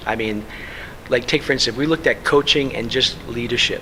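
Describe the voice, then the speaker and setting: A man keeps fairly even intonation while noticeable background noise runs behind him. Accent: New York. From New York. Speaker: sports administrator and keynote speaker. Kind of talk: interview; keynote speech.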